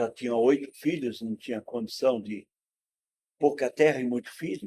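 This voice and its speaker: At a moderate pace, a man with a dark, mellow tone talks at medium pitch with ordinary pitch variation, in a dry, close sound with no echo. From Rio Grande do Sul, Brazil (rural interior, then Porto Alegre). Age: 70s. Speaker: former political prisoner and sociologist. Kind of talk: interview, life story.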